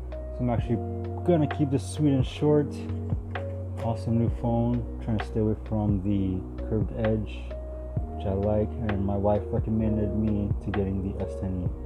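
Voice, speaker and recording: A man speaks with long, frequent pauses. Music plays in the background. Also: moderate pace. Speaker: vlogger unboxing a phone. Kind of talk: casual unboxing commentary. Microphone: phone near.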